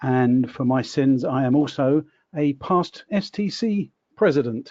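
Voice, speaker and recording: A dark, mellow tone in a British accent, with lively intonation and a fairly slow pace, in a dry, close sound with no echo and a quiet background. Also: man, fairly high pitch for a man. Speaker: recruiter, company owner. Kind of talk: online panel discussion.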